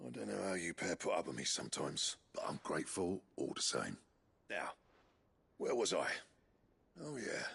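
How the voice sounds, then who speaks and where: A man does a put-on character voice that sounds raspy. He talks at a moderate pace with long, frequent pauses. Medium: short film. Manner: gruff.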